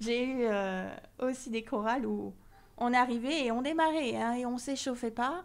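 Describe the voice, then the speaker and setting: A woman talks fairly slowly in a high voice whose pitch varies in an ordinary way. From southern France, near Marseille. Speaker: choir member, association president, scientist. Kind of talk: interview.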